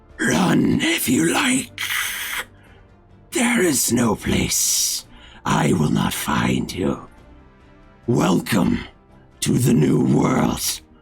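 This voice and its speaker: Someone talks very slowly in a raspy, put-on character voice while faint music plays in the background. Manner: menacing.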